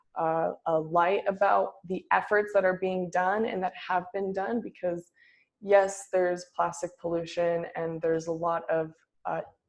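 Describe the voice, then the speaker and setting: This woman talks at a fairly slow pace. Her pitch sits fairly low, with monotone, flat intonation. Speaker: college vote organizer presenter. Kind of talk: online presentation.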